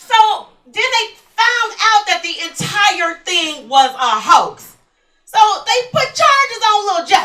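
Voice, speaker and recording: In a room with audible echo, a woman projects a raised voice at an extremely high pitch, with very wide pitch swings. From Texas, Houston. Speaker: stand-up comedian. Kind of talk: stand-up. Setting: stage with audience.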